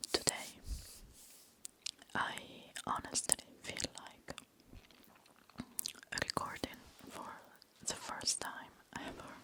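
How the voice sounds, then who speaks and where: A very slow whisper over noticeable background noise, broken by long, frequent pauses. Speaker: ASMR creator. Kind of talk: ASMR chatty review. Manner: whispered.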